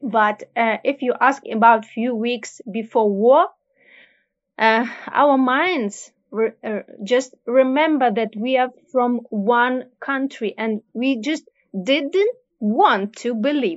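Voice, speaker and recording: With a Ukrainian accent, a woman speaks at a high pitch and a very slow pace. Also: ordinary pitch variation. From Ukraine. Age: 30s. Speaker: refugee. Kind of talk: interview. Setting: video call. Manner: halting.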